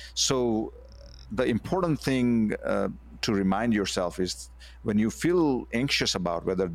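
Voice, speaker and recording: A man's fairly low voice at a moderate pace, with very wide pitch swings. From India. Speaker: former CEO and author. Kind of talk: interview. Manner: halting, many fillers.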